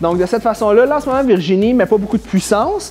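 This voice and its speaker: Against noticeable background noise, a man with a high pitch talks at a fairly quick pace with lively intonation. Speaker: fitness trainer. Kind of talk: exercise tutorial. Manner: fast.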